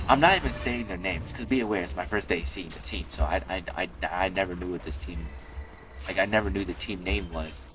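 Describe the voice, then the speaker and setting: Over music in the background, a man with a very deep, low voice talks at a fairly quick pace with lively intonation. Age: young. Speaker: gaming youtuber. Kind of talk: casual commentary vlog. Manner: stutters at times; rambling, halting with many fillers.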